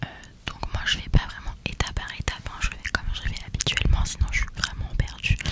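A woman whispers at a moderate pace. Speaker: makeup content creator. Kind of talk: soft casual tutorial chat. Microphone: studio mic.

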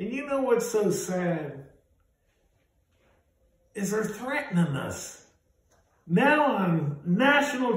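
A man's big pitch swings and long, frequent pauses amid strong room echo

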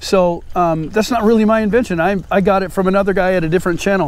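Very fast speech comes from a man with a high pitch and ordinary pitch variation. The sound is dry, with no echo. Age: 50s. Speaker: fishing YouTuber. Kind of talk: casual vlog narration. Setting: outdoors. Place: waterside.

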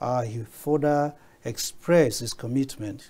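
Somewhat breathy, the voice has a dark, mellow tone and ordinary pitch variation. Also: man. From Nigeria. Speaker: media consultant and political commentator. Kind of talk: studio panel discussion. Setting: TV studio. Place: studio.

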